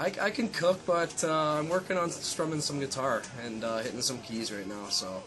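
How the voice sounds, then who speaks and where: A man speaks at a fairly quick pace with a Canadian accent. His pitch swings very widely, and there is noticeable background noise. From Canada. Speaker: college baseball player. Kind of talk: interview answers.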